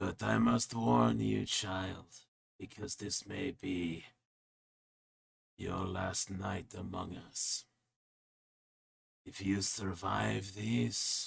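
A man whispers in a raspy, put-on character voice. He goes very slowly, with long, frequent pauses. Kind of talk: horror whisper. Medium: actual play. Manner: whispering, ominous, coolly sorrowful.

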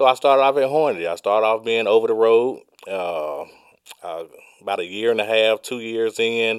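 In a Southern US accent, a man speaks at a moderate pace with medium pitch and ordinary pitch variation. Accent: Southern US (Georgia). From Georgia, US South. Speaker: truck driver. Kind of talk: casual interview.

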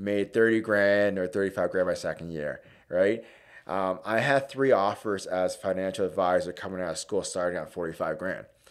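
A man talks at a moderate pace, captured on a very clean recording with a silent background. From Hamilton, Ontario, Canada. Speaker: mortgage broker. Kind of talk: casual chat.

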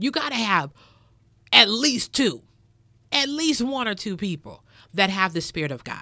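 A woman with fairly high pitch and a bright, sharp tone speaks at a fairly slow pace with long, frequent pauses and vocal fry. Her pitch swings very widely and her loudness shifts a lot. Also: very clean recording, silent background. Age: 30s. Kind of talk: sermon-style podcast monologue. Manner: emphatic, repetitive.

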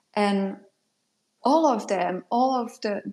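A woman speaks with a French accent. Her pace is very slow. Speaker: product designer and mentor. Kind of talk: casual interview chat. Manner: hesitant, many fillers.

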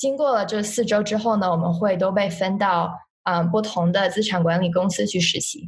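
You hear a woman with a somewhat breathy voice. Her pace is moderate. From China. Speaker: university student. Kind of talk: interview. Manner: halting.

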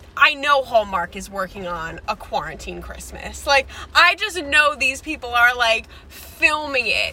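With a Long Island accent, a woman speaks at a fairly slow pace in an animated tone, her loudness swinging widely over noticeable background noise. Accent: Long Island New York. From New York. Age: 20s. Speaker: podcast co-host. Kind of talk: casual chat.

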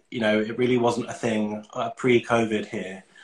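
At a moderate pace, a man speaks at a medium pitch. His voice is somewhat breathy. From London, England. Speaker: cosmetic doctor. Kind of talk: casual interview.

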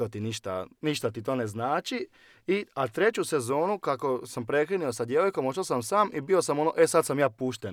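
In a very clean recording with a silent background and a dry, close sound without echo, a man with a fairly high pitch talks at a moderate pace, his pitch swinging very widely. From Croatia, Osijek (Slavonia). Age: 20s. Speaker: churchgoer sharing life story. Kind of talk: testimony.

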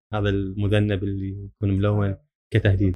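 Fairly low in pitch and somewhat breathy, a man speaks with monotone, flat intonation. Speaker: electrical service engineer. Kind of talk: casual interview chat.

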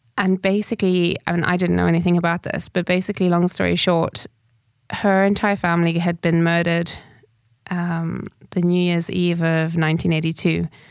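A woman's fairly low voice at a fairly quick pace with monotone, flat intonation. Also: very even loudness. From Zimbabwe. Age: 30s. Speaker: spiritual medium. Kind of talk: solo podcast monologue.

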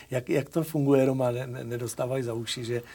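Fairly quick, monotone, flat delivery from a man at a medium pitch. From Moravia, Czechia. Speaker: talk show host. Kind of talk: casual interview.

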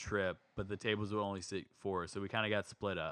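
With a normal speaking voice, a man talks at a fairly quick pace and a fairly low pitch. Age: 30s. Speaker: podcast co-host. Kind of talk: casual chat.

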